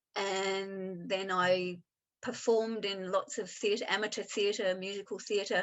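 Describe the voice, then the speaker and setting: With an Australian accent, a woman speaks at a fairly slow pace and medium pitch, keeping her intonation fairly even. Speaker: improviser and applied improvisation trainer. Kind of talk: interview.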